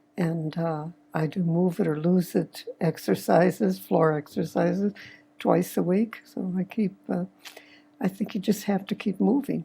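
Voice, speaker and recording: Delivered at a fairly slow pace, the voice has a dark, mellow tone with vocal fry. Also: woman, ordinary pitch variation. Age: 80s+. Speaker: retiree. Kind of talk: casual chat.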